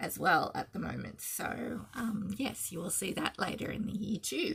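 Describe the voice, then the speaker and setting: With an Australian accent, a woman talks at a moderate pace. Her tone is bright and sharp, with vocal fry. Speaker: cross-stitch designer and video host. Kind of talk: casual chat. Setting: home video, early morning.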